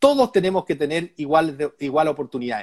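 Lively in intonation, a man speaks at a fairly high pitch in a dry, close sound with no echo. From Chile, Chillán countryside. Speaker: businessman and political candidate. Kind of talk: interview. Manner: halting, repeats words.

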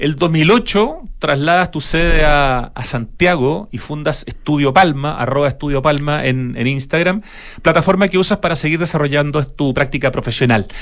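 Speaking in an unremarkable speaking voice, a man with a fairly high pitch keeps a moderate pace, ordinary pitch variation and hardly any pauses. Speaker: radio host. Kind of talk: radio interview. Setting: radio studio.

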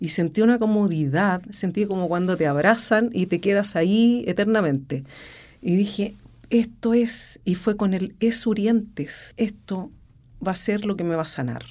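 With a dark, mellow tone and medium pitch, a woman speaks at a fairly slow pace with ordinary pitch variation in a very clean recording with a silent background. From Chile, Rancagua. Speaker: opera singer. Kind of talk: interview. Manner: halting.

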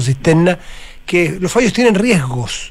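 Lively intonation at a fairly slow pace over noticeable background noise. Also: man. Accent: Chilean. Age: 60s. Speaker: radio host. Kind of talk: radio interview.

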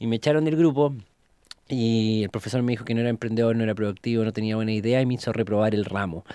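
A man with a Chilean accent speaks at a very fast pace and a medium pitch, in a dark, mellow tone with fairly even intonation. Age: 20s. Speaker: entrepreneur. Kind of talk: interview testimony. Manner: casual, colloquial.

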